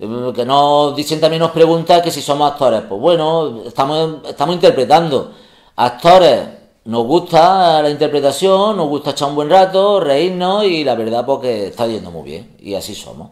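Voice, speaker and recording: Over a quiet background, a man with an unremarkable speaking voice talks at a moderate pace and fairly high pitch, with lively intonation and big swings in loudness. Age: 40s. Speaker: comedy youtuber; comedy video creator. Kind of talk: casual chat. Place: home room.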